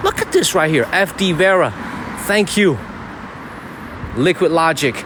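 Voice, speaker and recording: A man's high-pitched, animated voice at a fairly slow pace, with very even loudness, ordinary pitch variation and noticeable background noise. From China (Zhenjiang, Jiangsu). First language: Chinese. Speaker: live streamer. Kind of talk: live-stream walking vlog. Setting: outdoors, walking on the street at night.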